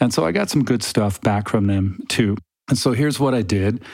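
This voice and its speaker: Fairly quick and fairly low-pitched, a man talks with ordinary pitch variation. He has an unremarkable speaking voice. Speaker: podcast host and theology researcher. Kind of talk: casual monologue. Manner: chatty, humorous.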